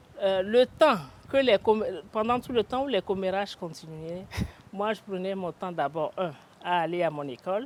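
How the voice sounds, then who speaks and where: A woman talks in a medium pitch at a moderate pace, with lively intonation. Her speech has long, frequent pauses. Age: 60s. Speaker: retired company director. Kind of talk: interview.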